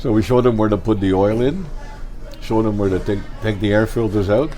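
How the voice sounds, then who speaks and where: A man at a very fast pace, fairly low in pitch, with ordinary pitch variation, very even loudness and noticeable background noise. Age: 80s+. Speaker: retired heating oil salesman. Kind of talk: interview answer. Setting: restaurant.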